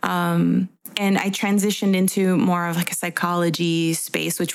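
With an American accent, a woman keeps fairly even intonation at a moderate pace. Noticeable background noise runs underneath. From Guatemalan American. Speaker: podcast co-host and therapist. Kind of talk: casual chat.

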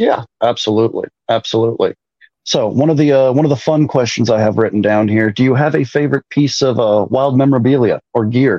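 In an ordinary speaking voice, a man with an American accent talks at a fairly quick pace and medium pitch. His loudness stays very even, with ordinary pitch variation. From Minnesota, north of the Twin Cities. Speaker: sports fan. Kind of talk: casual chat.

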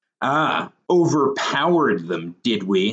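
This is a put-on character voice with a drawl, delivered at a fairly slow pace. The pitch swings very widely. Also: man, medium pitch for a man. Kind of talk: mocking. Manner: jeering, sarcastic, drawling.

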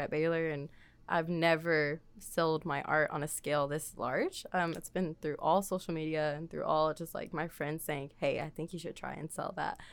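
With an American accent and an unremarkable speaking voice, a woman talks at a moderate pace in a fairly low pitch on a very clean recording with a silent background. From Texas, Waco. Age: 20s. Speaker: artist. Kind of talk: casual chat. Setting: studio.

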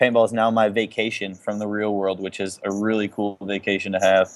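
In an American accent, a man speaks at a fairly quick pace with a medium pitch and monotone, flat intonation. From Chicago, US Midwest. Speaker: pro paintball team captain. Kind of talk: casual interview chat.

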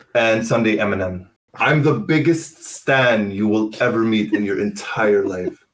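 A man's fairly low, plain, everyday voice, fairly slow, with ordinary pitch variation. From Canada, Ottawa. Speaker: football content creator. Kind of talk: casual chat.

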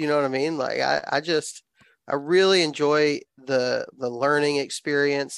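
Speaking at a fairly slow pace, a man with a Southern US accent holds a flat, monotone line at a fairly high pitch for a man. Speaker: outdoor YouTuber and hunter. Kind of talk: casual chat.

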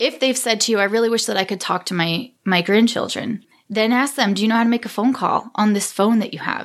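A woman in an unremarkable speaking voice talks at a fairly quick pace with hardly any pauses. Her pitch is fairly high, with ordinary variation. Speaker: senior care technology trainer. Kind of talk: casual interview chat.

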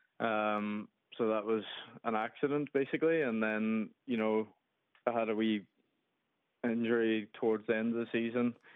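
With a Derry accent, a man speaks at a medium pitch and a moderate pace, his intonation fairly even. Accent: Derry Northern Irish. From Derry, Northern Ireland. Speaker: professional footballer. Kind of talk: radio interview.

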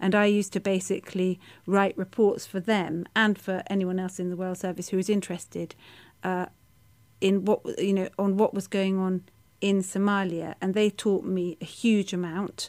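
The delivery is monotone and flat at a moderate pace, captured in a very clean recording with a silent background. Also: woman, medium pitch for a woman. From Kenya, then UK boarding school. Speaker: journalist and author. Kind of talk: interview. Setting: studio.

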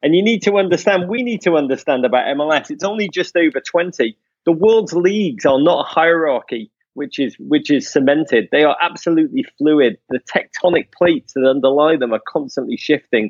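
In an English accent, a man with a fairly high pitch talks in an animated tone with very wide pitch swings. He keeps a fairly quick pace with hardly any pauses. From England. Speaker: soccer podcast host. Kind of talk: casual chat.

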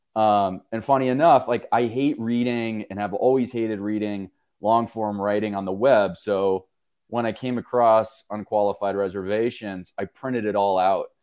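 This is a man with a plain, everyday voice at a fairly low pitch. He keeps a moderate pace and fairly even intonation on a very clean recording with a silent background. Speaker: publisher. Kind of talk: casual discussion.

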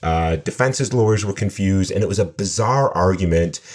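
A man's plain, everyday voice, fairly low in pitch with ordinary pitch variation, at a fairly quick pace. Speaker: computer science professor. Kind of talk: expert interview discussion.

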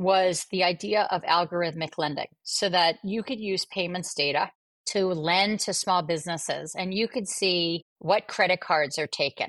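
In a very clean recording with a silent background and a dry, close sound with no echo, a woman with an American accent speaks in a plain, everyday voice at medium pitch, fairly slow, with ordinary pitch variation. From US Northeast (Atlantic City, New Jersey). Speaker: bank CEO and business executive. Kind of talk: interview.

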